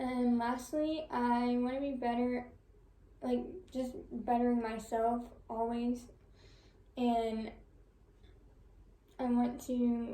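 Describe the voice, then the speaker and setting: Soft-spoken and high-pitched, a woman talks very slowly in a flat monotone with long, frequent pauses, amid audible room echo and noticeable background noise. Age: 20s. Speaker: college student. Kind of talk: class presentation.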